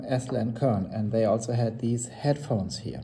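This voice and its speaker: This man's voice is somewhat breathy, with a dark, mellow tone. He speaks with a non-native accent. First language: not English. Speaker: hobbyist audio reviewer. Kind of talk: casual product review. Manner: halting, many fillers and restarts.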